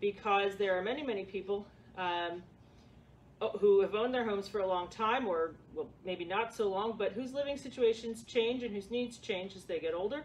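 With light background noise behind her, a woman speaks at a moderate pace and ordinary pitch variation. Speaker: presenter. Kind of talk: workshop presentation. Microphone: camera far.

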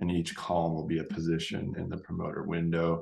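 A man talks with a very deep, low pitch. The room echo is audible, and the background stays quiet. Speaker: instructor. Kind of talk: lecture. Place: home room. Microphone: webcam.

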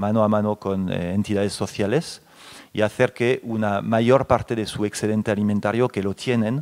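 A man speaks with a French accent. His voice sits fairly low, and his intonation stays fairly even. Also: moderate pace, quiet background. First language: French (speaking Spanish). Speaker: company representative on a panel; guest. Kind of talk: panel discussion. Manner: hesitant, many fillers. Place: hall. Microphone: handheld.

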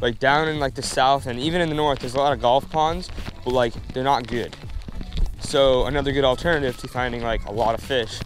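A man speaks with fairly even intonation. Clear music plays in the background, and the sound is dry with no echo. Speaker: fishing vlogger. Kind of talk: casual vlog chat. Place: open country. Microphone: lapel.

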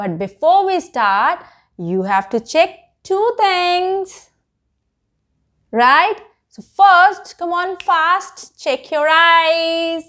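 Over a silent background in a very clean recording, a woman speaks at an extremely high pitch with lively intonation and a very slow pace. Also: fairly bright tone.

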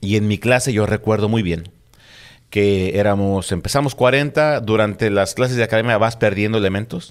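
Against a quiet background, the speaker uses a Spanish accent, very even loudness, fairly even intonation and a moderate pace. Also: man, fairly low pitch for a man. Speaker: police officer; guest. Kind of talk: casual chat. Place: studio. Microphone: studio mic.

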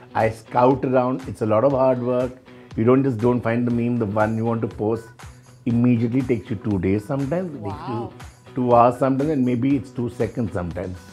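A man at a fairly quick pace with ordinary pitch variation and faint music in the background. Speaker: interview guest. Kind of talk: interview answer. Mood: playful, laughing, animated. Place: studio.

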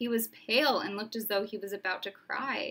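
Reading aloud, plainly done

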